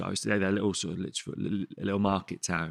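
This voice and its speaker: In a Birmingham accent, a man speaks at a very fast pace and fairly low pitch, with a dry, close sound and no echo. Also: very clean recording, silent background. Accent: Birmingham (Brummie). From Sutton Coldfield, Birmingham area, England. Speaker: chef and restaurant owner. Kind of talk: casual chat.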